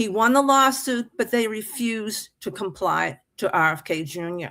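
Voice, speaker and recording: Her voice is bright and sharp, fairly high, with an American accent and lively intonation. The woman speaks at a moderate pace in a very clean recording with a silent background. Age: 70s. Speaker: open mic participant. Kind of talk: political discussion.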